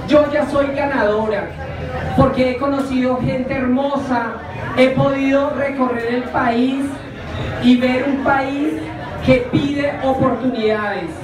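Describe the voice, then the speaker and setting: Amid crowd noise and audible room echo, a woman with a high voice speaks very slowly with fairly even intonation and long, frequent pauses. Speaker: candidate. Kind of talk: campaign speech. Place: bar.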